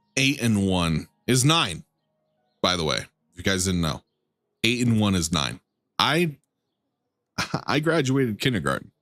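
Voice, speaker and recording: A man talks at a fairly slow pace and a fairly low pitch, with very wide pitch swings and long, frequent pauses. The sound is dry and close with no echo, and music plays in the background. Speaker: video game streamer. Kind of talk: live gameplay commentary. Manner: casual, joking.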